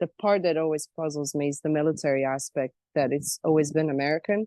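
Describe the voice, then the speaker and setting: This woman has a very deep, low voice and speaks with a slight Croatian accent. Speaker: self-described alien abductee. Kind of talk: interview.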